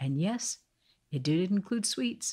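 Somewhat breathy and moving at a moderate pace, a woman talks with lively intonation and a gentle, animated tone on a very clean recording with a silent background. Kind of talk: bedtime story narration for kids. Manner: gentle, clear storyteller pace; animated, changes tone for each character's lines.

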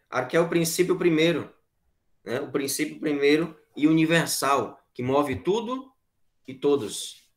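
Against a quiet background, a man with a fairly high pitch talks at a fairly slow pace with lively intonation in a plain, everyday voice. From Piauí, Brazil (Corrente); Piauí, Brazil. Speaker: philosophy teacher; teacher. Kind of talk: online class lecture. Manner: conversational, repetitive filler tags. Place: home room. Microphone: webcam.

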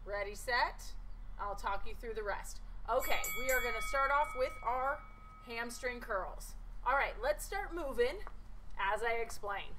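Over light background noise, a woman talks at a fairly slow pace in a raised, projected voice. Her tone is bright and sharp, with very wide pitch swings. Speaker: fitness instructor. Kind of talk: workout instruction. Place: garden.

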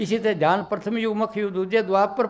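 A man speaks at a moderate pace in a high voice. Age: 90s. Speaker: spiritual teacher. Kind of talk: sermon. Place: hall. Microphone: handheld.

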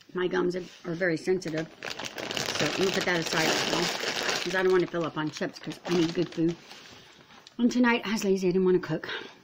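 Over noticeable background noise, a woman with a fairly low pitch speaks very fast with fairly even intonation. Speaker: vlogger. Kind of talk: casual vlog chat. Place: kitchen. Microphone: phone near.

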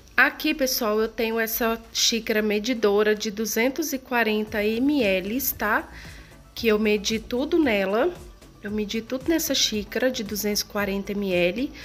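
A woman's very slow speech with ordinary pitch variation, faint music in the background. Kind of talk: cooking tutorial. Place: kitchen. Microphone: phone near.

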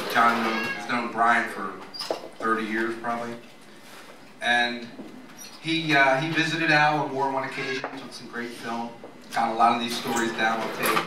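A man speaks with long, frequent pauses. There is noticeable background noise and audible room echo. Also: moderate pace. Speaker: memorial speaker reading a poem. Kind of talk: poetry reading at a memorial. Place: cafe. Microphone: camera far.

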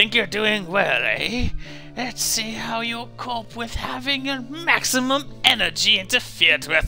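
Putting on a character voice at an extremely high pitch, a man speaks at a moderate pace while clear music plays in the background. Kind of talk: comic villain voice. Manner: gloating, dastardly.

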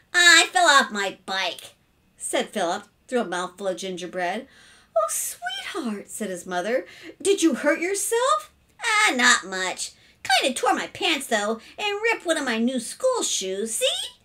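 At a fairly slow pace, a woman's raised, projected voice moves through very wide pitch swings. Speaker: storyteller reading a children's book. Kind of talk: read-aloud storytelling. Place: home room. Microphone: webcam.

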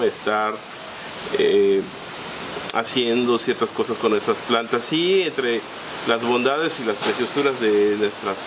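A man talks at a very slow rate, with noticeable noise behind him. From Yucatán, Mexico. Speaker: plant grower and channel host. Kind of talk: tutorial. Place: garden.

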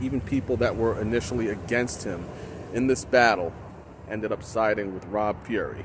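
Amid noticeable background noise, a man speaks at a fairly quick pace with fairly even intonation, the sound dry with no echo. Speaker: professional wrestling ring announcer. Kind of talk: casual talk to camera, promotional reflection. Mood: nostalgic, promotional. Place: open country. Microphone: phone near.

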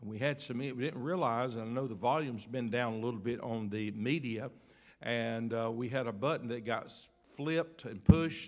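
At a moderate pace, a man speaks with fairly even intonation against a quiet background. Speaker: pastor. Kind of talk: church announcements. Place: church. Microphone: podium.

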